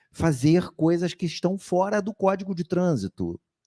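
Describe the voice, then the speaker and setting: The recording is very clean, with a silent background and a dry, close sound without echo. A man speaks at a moderate pace. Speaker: professor. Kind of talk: panel discussion.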